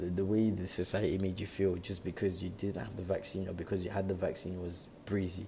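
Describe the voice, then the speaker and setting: At a moderate pace, a man talks in a very deep, low pitch with a dark, mellow tone that is somewhat breathy. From England. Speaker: podcaster. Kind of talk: casual monologue. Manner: halting.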